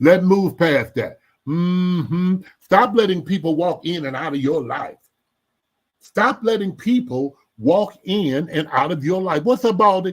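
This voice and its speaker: Here a man speaks at a fairly slow pace with a high pitch. His tone is animated and his intonation lively. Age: 60s. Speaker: radio talk show host. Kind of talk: radio talk show monologue.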